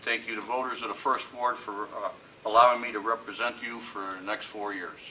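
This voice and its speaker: Against noticeable background noise, a man speaks at a fairly quick pace and medium pitch. His intonation is monotone and flat, with big swings in loudness. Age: 60s. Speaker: city council member. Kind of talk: candidate statement at public forum.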